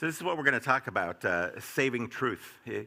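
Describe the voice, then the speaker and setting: A man's medium-pitched voice with an American accent, a bright, sharp tone, vocal fry and very wide pitch swings, at a moderate pace. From United States. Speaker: disinformation expert. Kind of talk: presentation. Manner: loud.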